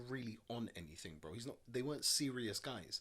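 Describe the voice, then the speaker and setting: A man with a London accent speaks with vocal fry. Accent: London multicultural English. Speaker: podcast co-host. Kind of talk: casual chat.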